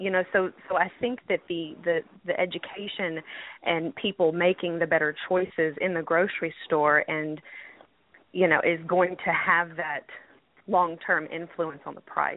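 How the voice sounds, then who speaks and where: This is a normal speaking voice with fairly even intonation, delivered at a fairly slow pace. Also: woman, fairly low pitch for a woman. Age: 20s. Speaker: healthcare worker. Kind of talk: call-in radio discussion.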